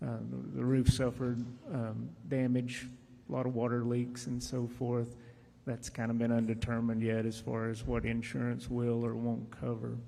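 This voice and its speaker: Soft-spoken, a man with an American accent talks at medium pitch in a flat monotone, his tone dark and mellow, with audible room echo. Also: moderate pace. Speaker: county judge testifying at hearing. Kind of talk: testimony.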